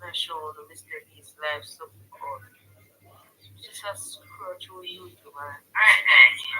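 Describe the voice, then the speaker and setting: The speaker has a Jamaican accent and moves at a fairly slow pace. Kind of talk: casual livestream chat.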